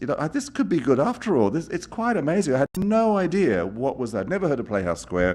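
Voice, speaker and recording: A man's fairly high voice with vocal fry and very wide pitch swings at a very fast pace, over a quiet background. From Australia. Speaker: arts executive, theatre venue CEO. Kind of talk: public talk to a live audience. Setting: stage with audience. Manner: conversational, hesitant with frequent repetitions.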